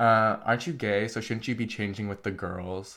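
A man with an American accent and an unremarkable speaking voice, fairly low in pitch, fairly quick, with fairly even intonation. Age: 18. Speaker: interview guest. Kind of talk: casual chat. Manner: casual, filler-heavy.

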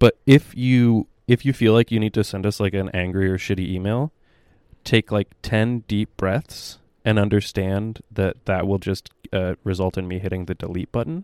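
In a very clean recording with a silent background and a dry, close sound with no echo, a man speaks at a moderate pace in an ordinary speaking voice with fairly low pitch. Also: ordinary pitch variation. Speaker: podcast host. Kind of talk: casual chat.

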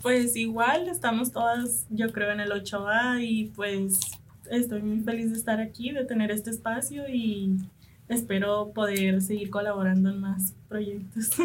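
Somewhat breathy and fairly high, a woman's voice moves at a fairly slow pace amid audible room echo. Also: fairly even intonation. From Punta Chueca, Sonora, Mexico (Comcaac/Seri). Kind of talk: radio interview.

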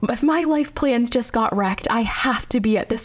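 A woman with an American accent uses a normal speaking voice, fairly high in pitch with ordinary variation, at a moderate pace. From US, South Hills suburbs. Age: 20s. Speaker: pastor. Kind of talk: testimony.

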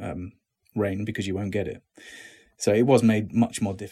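On a very clean recording with a silent background, a man with an English accent speaks in a fairly low, somewhat breathy voice with fairly even intonation. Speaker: actor. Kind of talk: interview.

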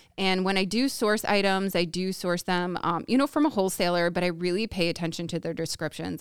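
A plain, everyday voice from a woman with an American accent, fairly low in pitch, with ordinary pitch variation, a fairly quick pace, and a very clean recording with a silent background. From Woodstock area, US. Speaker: small business owner. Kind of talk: casual chat.

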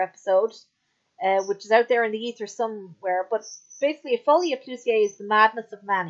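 Here is a woman with an ordinary speaking voice, fairly high in pitch, with lively intonation. The sound is dry and close, with no echo. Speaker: podcast host. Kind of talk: casual chat.

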